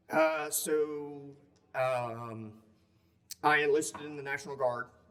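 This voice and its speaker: A man in a Southern US accent at a very slow pace with fairly even intonation, audible room echo and noticeable background noise. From upstate South Carolina. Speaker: war veteran. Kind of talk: interview. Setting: conference.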